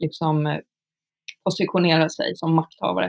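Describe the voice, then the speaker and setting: Speaking at a moderate pace with fairly even intonation, a woman has a plain, everyday voice at a fairly low pitch. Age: 40s. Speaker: psychiatric care worker, author and lecturer. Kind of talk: casual interview conversation.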